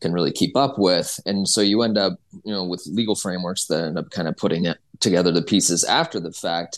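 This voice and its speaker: The man's voice sits fairly low. The background is quiet. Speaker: entertainment business reporter. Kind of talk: interview. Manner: halting, filler-heavy.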